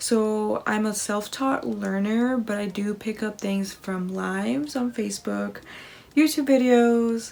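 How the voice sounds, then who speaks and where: With an American accent, a woman speaks at a moderate pace and medium pitch. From US Midwest, Kansas. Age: 20s. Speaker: makeup artist; makeup vlogger. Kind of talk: makeup tutorial. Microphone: phone near.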